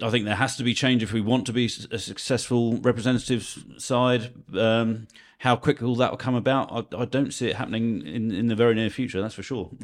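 On a very clean recording with a silent background, a man with a Guernsey accent talks at a medium pitch and a fairly quick pace, his intonation fairly even. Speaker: sports editor. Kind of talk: casual chat.

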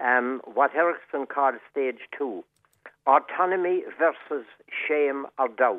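A speaker with a Cork accent talks at a very slow pace. The intonation is lively. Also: man. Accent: Cork Irish. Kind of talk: radio interview.

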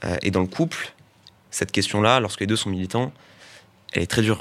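A man with a fairly low pitch talks at a fairly quick pace with ordinary pitch variation. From Paris area. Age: young. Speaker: young political activist. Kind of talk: panel discussion.

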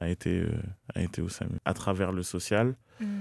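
A man with a very deep, low pitch and a dark, mellow tone speaks at a very slow pace, the sound dry and close with no echo in a very clean recording with a silent background. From Boulogne-Billancourt, Paris region (Hauts-de-Seine), Cameroonian family. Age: young. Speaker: rapper. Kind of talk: interview. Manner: halting, many repetitions.

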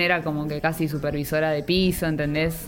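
Music plays in the background as a woman with a fairly low pitch speaks amid audible room echo. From Argentina, Buenos Aires (Villa Ballester). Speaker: nutrition researcher. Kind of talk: casual chat. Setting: in a pub.

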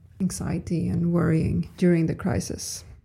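The voice has a dark, mellow tone and is somewhat breathy, moving at a very slow pace on a very clean recording with a silent background. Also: woman. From Sweden, Stockholm. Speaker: epidemiologist and scientist. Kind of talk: interview.

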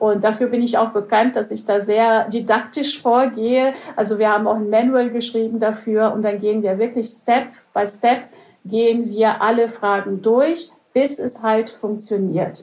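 An unremarkable speaking voice at a fairly slow pace with fairly even intonation. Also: woman, fairly high pitch for a woman. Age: 50s. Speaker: conference interpreter. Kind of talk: interview.

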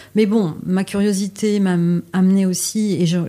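A woman with a medium pitch talks very slowly, her intonation fairly even. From Paris, France. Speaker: exhibition curator. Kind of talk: interview.

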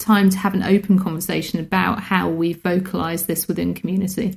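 A woman talks in a British accent at medium pitch. Her voice is somewhat breathy, with fairly even intonation. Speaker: podcast host. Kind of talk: casual chat, book review.

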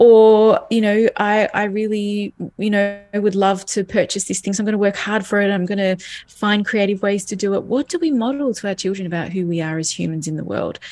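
A woman with an Australian accent at a medium pitch, fairly quick pace and ordinary pitch variation, with music in the background. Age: 40s. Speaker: parenting educator. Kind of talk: interview.

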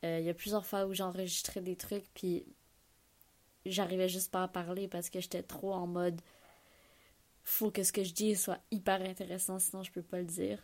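A woman with a Quebec accent speaks at a moderate pace and medium pitch, in monotone, flat intonation broken by long, frequent pauses. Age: 20s. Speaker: podcast host. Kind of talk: solo monologue. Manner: casual, hesitant.

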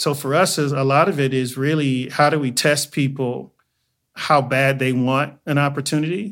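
This man has an American accent and a fairly high pitch. His intonation stays fairly even. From Inglewood, California (Los Angeles). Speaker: footwear designer and college founder. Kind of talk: interview conversation.

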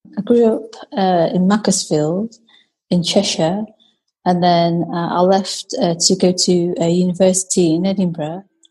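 The voice is somewhat breathy with a dark, mellow tone, fairly even intonation and a fairly slow pace. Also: woman, medium pitch for a woman. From Britain, Chinese family. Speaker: guest, host's sister. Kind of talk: casual chat, interview with sister.

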